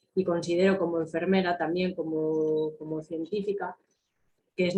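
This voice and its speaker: The delivery comes at a fairly slow pace with monotone, flat intonation. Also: woman. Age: 30s. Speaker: nurse. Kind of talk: panel testimony.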